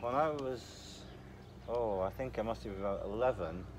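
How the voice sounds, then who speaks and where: A man's fairly low voice with ordinary pitch variation over noticeable background noise. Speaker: vlogger. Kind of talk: casual chat. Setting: outdoors. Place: open country. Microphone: phone near.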